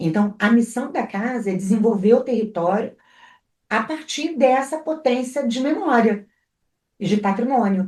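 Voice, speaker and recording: Using a normal speaking voice, a woman speaks at a fairly slow pace, her fairly high pitch carrying lively intonation. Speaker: cultural entrepreneur. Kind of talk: interview conversation.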